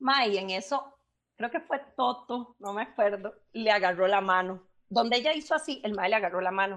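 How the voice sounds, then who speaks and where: Over a quiet background, a woman with a Costa Rican accent talks at a moderate pace with lively intonation. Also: medium pitch for a woman. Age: 30s. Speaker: podcast co-host. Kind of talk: casual chat.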